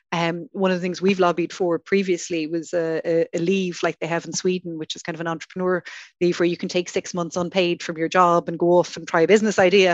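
A woman with an Irish accent at a very fast pace, monotone and flat, in a dry, close sound with no echo. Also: fairly low pitch for a woman. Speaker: venture capital industry association director. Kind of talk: panel discussion.

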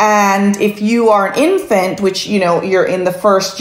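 There is noticeable background noise. A woman talks at a fairly slow pace with medium pitch. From Jamaica. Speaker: pediatric sleep consultant. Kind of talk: interview.

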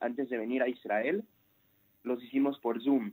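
A man's medium-pitched voice with a Mexican accent, dark and mellow in tone, at a fairly slow pace with ordinary pitch variation. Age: 20s. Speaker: immigrant about to join the army. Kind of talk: radio interview.

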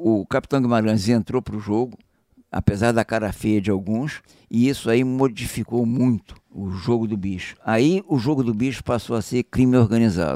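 On a very clean recording with a silent background and a dry, close sound with no echo, a man speaks at a moderate pace and medium pitch, his dark, mellow tone carrying ordinary pitch variation. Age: 70s. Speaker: retired police chief. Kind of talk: interview.

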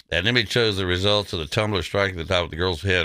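A man with an American accent, very deep, low pitch, a bright, sharp tone and vocal fry, in a very clean recording with a silent background. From Texas. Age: 70s. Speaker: talk radio host. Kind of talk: talk radio show.

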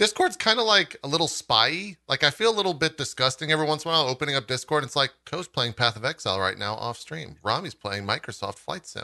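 Talking very fast with hardly any pauses, a man uses a fairly high pitch that swings very widely, plus vocal fry. His tone is bright and sharp, and the sound is dry and close with no echo. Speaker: podcast host. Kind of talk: casual chat. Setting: livestream.

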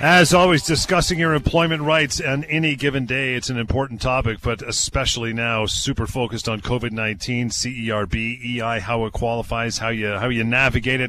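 Noticeable background noise sits under a man speaking at a medium pitch. He keeps a moderate pace with hardly any pauses and ordinary pitch variation. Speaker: radio host. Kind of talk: radio call-in show. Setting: radio studio. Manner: energetic.

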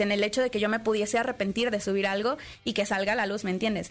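This is a woman speaking at a fairly high pitch. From Puebla, Mexico. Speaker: streamer. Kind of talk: interview.

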